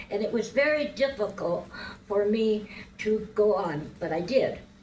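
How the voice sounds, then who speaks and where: Speaking fairly slowly at a medium pitch, a woman shows ordinary pitch variation amid audible room echo. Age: 80s+. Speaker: pageant contestant. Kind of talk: interview.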